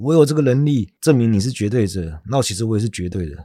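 A man's dark, mellow voice at medium pitch, with lively intonation and a very fast pace. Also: very clean recording, silent background. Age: middle-aged. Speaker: podcast host. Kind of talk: casual chat about philosophy.

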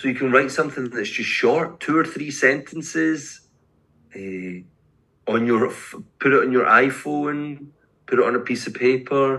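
With a Glaswegian accent, this voice has a bright, sharp tone and leaves long, frequent pauses. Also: man, medium pitch for a man, ordinary pitch variation, moderate pace. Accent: Glaswegian Scottish. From Scotland, Glasgow. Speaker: poet and English teacher. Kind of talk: casual interview.

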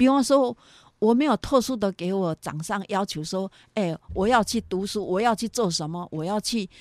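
A woman's medium-pitched voice, with ordinary pitch variation, comes through in a very clean recording with a silent background. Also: moderate pace, dry, close sound with no echo. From Taiwan, Yunlin County. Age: 60s. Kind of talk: interview testimony. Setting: studio. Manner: animated.

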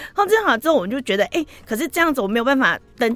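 The woman speaks with lively intonation. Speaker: chef and cookbook author. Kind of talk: radio interview.

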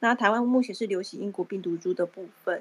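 This is a woman with an unremarkable speaking voice at a medium pitch. She moves at a moderate pace with ordinary pitch variation. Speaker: Clubhouse participant. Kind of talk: casual chat.

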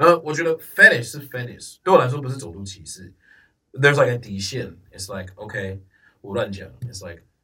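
Speaking at a fairly quick pace in an English accent, a man uses a bright, sharp tone with lively intonation and big swings in loudness. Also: medium pitch for a man. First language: English (speaking Chinese). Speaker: podcast guest. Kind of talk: casual chat. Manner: code-switching between English and Mandarin.

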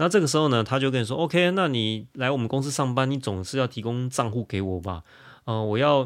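Against a silent background on a very clean recording, a man talks fairly quickly in a plain, everyday voice at a medium pitch with lively intonation. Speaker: lawyer. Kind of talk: interview.

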